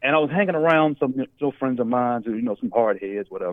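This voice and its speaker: A man talking at a fairly quick pace, with very wide pitch swings. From Los Angeles, then Dallas, Texas. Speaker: author. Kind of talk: radio interview.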